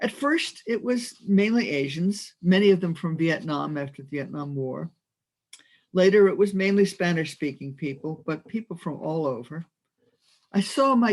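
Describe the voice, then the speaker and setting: With an American accent, a woman talks at a fairly slow pace in a fairly low pitch, her intonation lively. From New Jersey, US. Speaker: minister. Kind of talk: sermon. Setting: video call.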